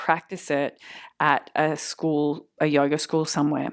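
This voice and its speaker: A woman's very deep, low voice with an Australian accent, on a very clean recording with a silent background. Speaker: yoga teacher. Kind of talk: lecture.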